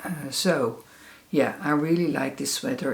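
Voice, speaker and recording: Speaking in a Dutch accent, a woman with a very deep, low pitch and ordinary pitch variation is heard with audible room echo. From Netherlands. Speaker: crafts podcaster. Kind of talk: casual chat. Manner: hesitant, many fillers.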